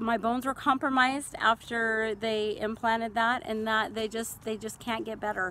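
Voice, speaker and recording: A woman with an American accent, fairly high pitch, fairly even intonation and a moderate pace. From central California. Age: 40s. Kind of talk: casual talk to camera. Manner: hesitant.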